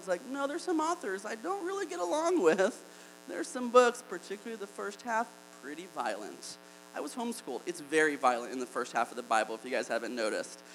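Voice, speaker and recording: A man talks very fast over noticeable background noise. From Alabama. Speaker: campus pastor. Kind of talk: sermon.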